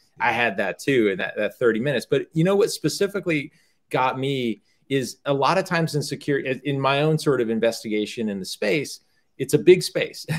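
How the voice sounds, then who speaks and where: A man with an American accent and a normal speaking voice, fairly high in pitch, fairly quick, with lively intonation. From US South. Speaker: startup cofounder and business executive. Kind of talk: casual conversation.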